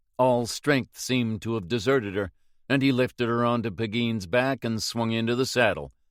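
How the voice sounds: The clip holds a natural reading voice.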